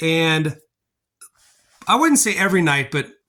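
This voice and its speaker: A man speaks in a raised, projected voice with a bright, sharp tone. The pace is moderate, and the recording is very clean with a silent background. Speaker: family vlogger. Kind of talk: casual vlog narration to camera. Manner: loud; animated.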